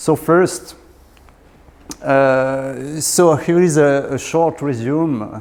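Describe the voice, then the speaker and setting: A man in a southwestern French accent speaks at a very slow pace with long, frequent pauses and a fairly high pitch, amid noticeable background noise. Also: ordinary pitch variation. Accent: French accent, from Southwest France. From Southwest France. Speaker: research engineer in statistics. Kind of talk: lecture. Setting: lecture hall with audience. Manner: halting, many fillers.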